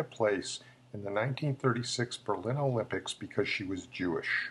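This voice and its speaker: A man speaks at a fairly quick pace in a somewhat breathy voice. His pitch varies in an ordinary way. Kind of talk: history show narration.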